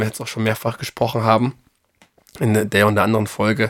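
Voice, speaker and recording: Speaking at a very fast pace, a man holds a medium pitch. His intonation is monotone and flat. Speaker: bible podcast co-host. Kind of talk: casual bible study discussion. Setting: studio, sitting together.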